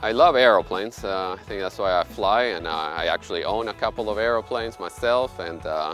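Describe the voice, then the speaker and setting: Over faint music in the background, a man with a fairly low pitch talks at a fairly quick pace with hardly any pauses, in a dry sound with no echo. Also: ordinary pitch variation. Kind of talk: interview answer. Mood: warm, proud of work. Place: street. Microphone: lapel.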